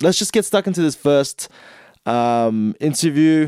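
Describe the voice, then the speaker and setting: A man's dark, mellow voice moves with lively intonation, recorded dry and close with no echo. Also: very clean recording, silent background. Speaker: podcast host. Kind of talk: casual interview chat. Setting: studio. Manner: casual, slangy, upbeat.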